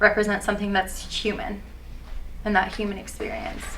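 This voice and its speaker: A woman's medium-pitched voice with an Iranian accent and audible room echo. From US, Persian American family. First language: Farsi. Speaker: aspiring actor. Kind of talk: mock job interview. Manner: hesitant, many fillers.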